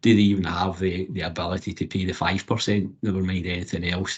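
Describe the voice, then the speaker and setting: Somewhat breathy and very deep in pitch, a man talks at a fairly quick pace. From Scotland. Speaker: apprenticeship support advocate. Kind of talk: panel discussion.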